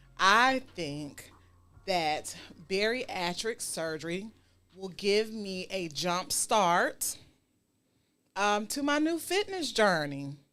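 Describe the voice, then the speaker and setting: With music in the background, a woman talks very slowly, her pitch swinging very widely and her speech broken by long, frequent pauses. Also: medium pitch for a woman. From US South, Savannah, Georgia. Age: 40s. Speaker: talk show host. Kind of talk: casual chat.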